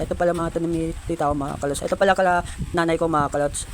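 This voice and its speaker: A man's fairly high, monotone, flat voice at a very fast pace over noticeable background noise. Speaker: vlogger. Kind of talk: casual vlog walkaround. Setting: outdoors. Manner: halting, stuttering.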